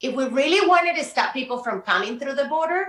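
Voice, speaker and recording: A woman with a Spanish accent speaks in a bright, sharp tone with lively intonation. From Colombia. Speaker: community organizer. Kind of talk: heated debate. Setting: studio.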